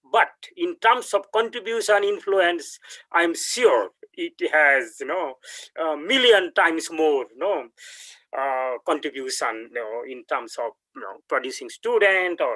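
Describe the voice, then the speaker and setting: In a Bengali accent, a man speaks at a fairly slow pace in a dry, close sound with no echo. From India, West Bengal. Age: 60s. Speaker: professor. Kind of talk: lecture. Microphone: laptop audio without headphones.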